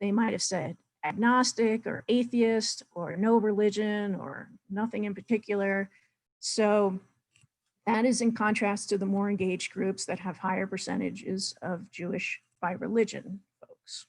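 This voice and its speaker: Using an ordinary speaking voice, a woman keeps a medium pitch and fairly even intonation. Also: fairly slow pace. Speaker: data presenter. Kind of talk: webinar presentation.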